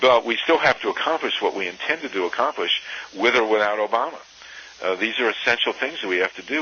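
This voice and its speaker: A man with an American accent talks at a fairly quick pace and medium pitch with lively intonation, amid noticeable background noise. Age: 60s. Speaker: activist and author. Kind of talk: interview. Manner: halting, many fillers and restarts.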